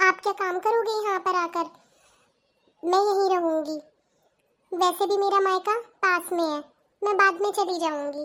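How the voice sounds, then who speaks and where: A woman's cartoonish character voice, extremely high-pitched, with fairly even intonation and long, frequent pauses. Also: moderate pace. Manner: soft, polite.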